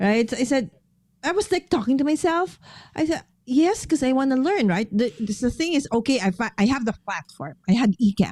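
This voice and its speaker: Using a Filipino accent, a woman speaks at a fairly quick pace with a high pitch and very wide pitch swings. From Philippines. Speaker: paper crafter and live streamer. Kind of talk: casual chat.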